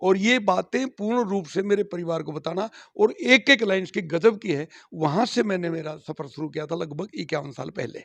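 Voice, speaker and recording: A man's high-pitched voice with lively intonation in a dry, close sound with no echo. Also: moderate pace. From Haryana. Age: 60s. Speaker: folk singer, retired school principal. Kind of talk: interview.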